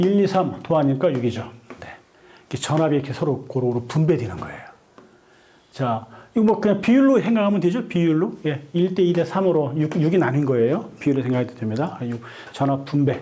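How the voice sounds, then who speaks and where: A dark, mellow, somewhat breathy voice with lively intonation at a fairly quick pace, in audible room echo. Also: man, fairly high pitch for a man. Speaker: lecturer, online community leader. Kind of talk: lecture.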